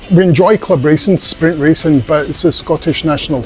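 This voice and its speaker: There is noticeable background noise as a man talks at a fairly quick pace. His pitch is fairly high, with ordinary pitch variation. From Scotland (East Lothian / Edinburgh). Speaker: pigeon fancier. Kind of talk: interview. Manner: halting, with fillers and restarts.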